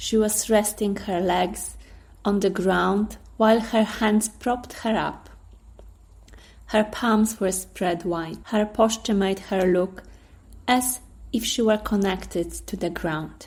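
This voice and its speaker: Somewhat breathy and with a Polish accent, a woman speaks at a very slow pace, with a medium pitch and fairly even intonation. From Poland. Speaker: storyteller and writer. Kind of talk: storytelling narration; casual intro. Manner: hesitant, many fillers.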